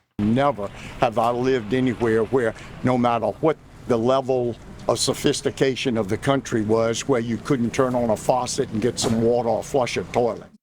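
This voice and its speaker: A man's monotone voice with flat intonation against noticeable background noise. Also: medium pitch for a man, moderate pace. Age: 80s+. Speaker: interviewed resident. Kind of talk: street interview.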